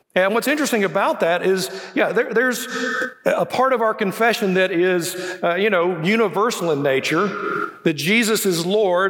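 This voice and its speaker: A high-pitched man speaking at a moderate pace with a Southern US accent, amid noticeable background noise. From Birmingham, Alabama, US South. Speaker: guest preacher and university professor. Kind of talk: sermon. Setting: church with congregation. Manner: informal, humorous.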